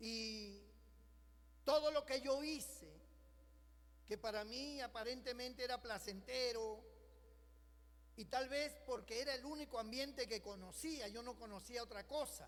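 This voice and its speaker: A man's extremely high, animated voice at a fairly slow pace, broken by long, frequent pauses. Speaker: pastor. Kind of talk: sermon.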